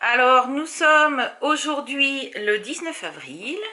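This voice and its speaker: A woman with a bright, sharp tone uses a raised, projected voice at a very slow pace. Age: 40s. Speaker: crafting vlogger. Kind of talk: casual vlog chat. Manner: chatty, many hesitations.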